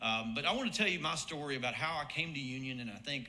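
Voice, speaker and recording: A man talks very fast with an Alabama accent. There is audible room echo. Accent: Southern US (Alabama). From US South, Birmingham, Alabama. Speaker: marketing professor and former soccer coach. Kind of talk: hall of fame induction speech. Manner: conversational, with frequent fillers and repetitions.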